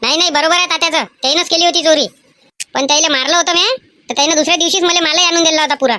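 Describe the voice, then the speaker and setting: A woman does a cartoonish character voice at an extremely high pitch, talking very fast with ordinary pitch variation. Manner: rustic Vidarbha village dialect.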